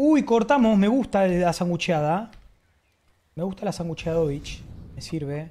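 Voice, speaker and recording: Calm and dark, mellow in tone, the voice moves at a fairly slow pace with lively intonation. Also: woman. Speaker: esports commentator and streamer. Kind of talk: esports play-by-play commentary over CS:GO match highlights. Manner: casual, swearing, slangy and fanlike, mixing in stretches of calm analysis. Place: home room.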